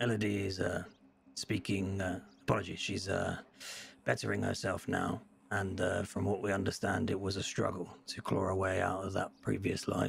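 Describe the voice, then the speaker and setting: A man talks in a put-on character voice with a fairly low pitch. His delivery is raspy and moves at a moderate pace. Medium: game stream. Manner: formal, measured, hesitant fillers.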